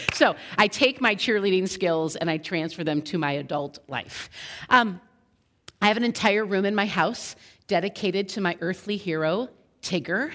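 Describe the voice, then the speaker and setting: An animated woman speaks at a medium pitch and moderate pace. Her pitch variation is ordinary, on a very clean recording with a silent background. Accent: American. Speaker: youth pastor. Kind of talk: sermon. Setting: school chapel with audience. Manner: loud.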